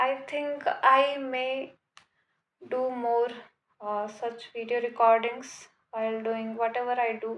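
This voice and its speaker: A woman speaks with a non-native accent at a very slow pace, leaving long, frequent pauses. Her voice is high-pitched, with flat, monotone intonation. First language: not English. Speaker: vlogger. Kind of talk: casual monologue to camera. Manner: hesitant, many fillers.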